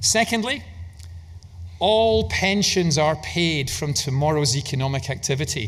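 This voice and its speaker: With audible room echo, a man with a Scottish accent speaks using lively intonation. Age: 60s. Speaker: investment manager. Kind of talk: conference keynote talk.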